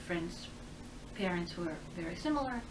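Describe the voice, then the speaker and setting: At a moderate pace and medium pitch, a woman speaks amid noticeable background noise and audible room echo. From Russia, Saint Petersburg. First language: Russian. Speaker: immigrant interviewee. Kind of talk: interview.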